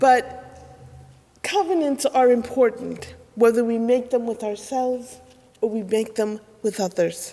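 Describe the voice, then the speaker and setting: The speech moves at a fairly slow pace with long, frequent pauses and ordinary pitch variation. Noticeable background noise sits behind it. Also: woman, high pitch for a woman. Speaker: minister. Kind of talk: sermon.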